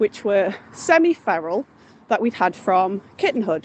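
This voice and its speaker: Over noticeable background noise, a woman with a Mancunian accent speaks at a moderate pace. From Salford, northern England. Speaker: caller. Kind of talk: voice note story. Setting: outdoors, walking home.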